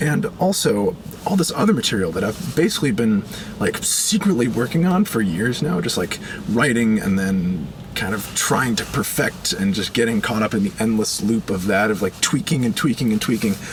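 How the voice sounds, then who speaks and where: Moving at a moderate pace, a man with a medium pitch makes very wide pitch swings over noticeable background noise. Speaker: musician and video creator. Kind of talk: personal video update. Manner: casual, hesitant with fillers.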